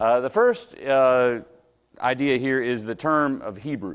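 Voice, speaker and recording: The man's voice sits at a medium pitch. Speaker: Bible class teacher. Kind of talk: Bible class lecture. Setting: church classroom with speaker system. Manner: loud; halting, many fillers.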